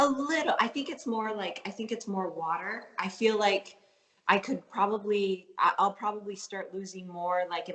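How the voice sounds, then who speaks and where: This woman has a slight Canadian accent and a medium pitch, with ordinary pitch variation. She talks at a moderate pace over noticeable background noise. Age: 30s. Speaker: professional fitness athlete. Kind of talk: interview. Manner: casual, filler-heavy.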